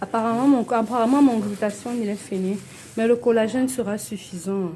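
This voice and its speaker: A woman's fairly high, somewhat breathy voice, dark and mellow in tone, at a moderate pace. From Cameroon. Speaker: cosmetics seller. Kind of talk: product tutorial. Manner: animated.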